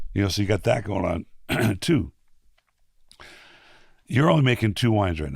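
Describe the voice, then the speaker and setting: A somewhat breathy man talks with very wide pitch swings and long, frequent pauses. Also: fairly low pitch for a man, moderate pace. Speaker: podcast host. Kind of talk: casual conversation. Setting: studio.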